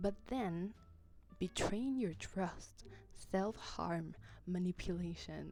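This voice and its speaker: A woman talks very slowly, pausing long and often, with music in the background. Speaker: video essay host. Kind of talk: casual video essay narration.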